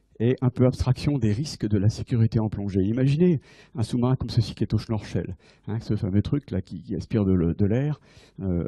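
A man speaks at a moderate pace in a fairly low, dark, mellow tone that is somewhat breathy, with ordinary pitch variation. The background is quiet. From France. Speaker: navy admiral and submarine officer giving a conference. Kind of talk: lecture. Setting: lecture hall with audience. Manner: halting with frequent repetitions. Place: hall. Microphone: handheld.

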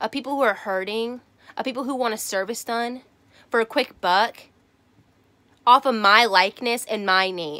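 A woman with a Southern US accent, bright and sharp in tone, with ordinary pitch variation and a quiet background. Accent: Southern American. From Southern United States. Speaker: tarot reader. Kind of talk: casual talk to camera. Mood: annoyed, indignant. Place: home room. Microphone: webcam.

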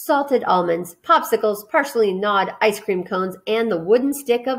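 This natural reading voice has lively intonation from start to finish.

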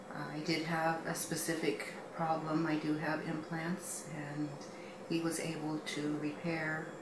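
A woman speaks at a fairly slow pace, with noticeable background noise around her. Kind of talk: testimonial. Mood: warm, content.

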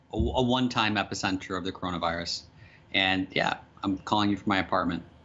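A man speaks at a fairly quick pace in an unremarkable speaking voice, his fairly low pitch showing ordinary pitch variation. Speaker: podcast guest. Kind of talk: interview answer. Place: home room. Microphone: studio mic.

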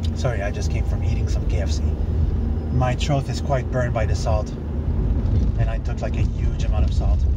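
A man speaks at a moderate pace with ordinary pitch variation. The sound is dry with no echo, but loud background noise is present. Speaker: vlogger. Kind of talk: casual vlog chat. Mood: grumbling, annoyed. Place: car.

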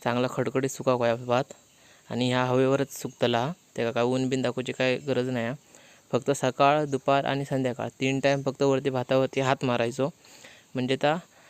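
A man's medium-pitched voice, monotone and flat, in a dry, close sound with no echo. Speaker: village vlogger. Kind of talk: casual vlog narration.

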